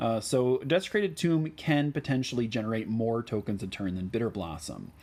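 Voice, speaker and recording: A man at a moderate pace, medium-pitched, with a slight Midwestern US accent. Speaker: gaming YouTuber. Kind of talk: tutorial. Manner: casual with frequent fillers.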